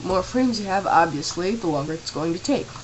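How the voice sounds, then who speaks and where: A woman at medium pitch, fairly quick and lively in intonation, with noticeable background noise. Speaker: tutorial maker. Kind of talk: screen-recorded software tutorial. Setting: home camera microphone.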